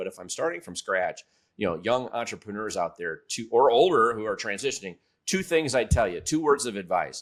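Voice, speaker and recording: A man's normal speaking voice, medium in pitch, at a fairly quick pace with lively intonation, on a very clean recording with a silent background. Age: 60s. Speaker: private equity expert. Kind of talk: podcast interview.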